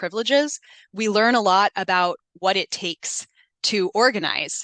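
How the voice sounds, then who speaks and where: Over a quiet background, a woman speaks in a bright, sharp tone with ordinary pitch variation and a dry, close sound with no echo. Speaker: scholar and community organizer. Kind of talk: academic presentation. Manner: frequent filler words.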